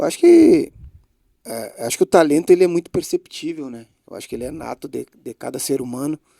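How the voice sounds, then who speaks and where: A man talks at a fairly quick pace with big swings in loudness, and the sound is dry and close with no echo. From Brazil, Bagé, Rio Grande do Sul. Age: 40s. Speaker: former footballer, club director. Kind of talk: interview.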